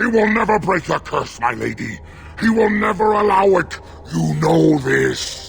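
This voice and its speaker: A put-on, growling character voice from a man at a moderate pace, with clear background noise. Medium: video game. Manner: grave, heavy, loyal to his lady.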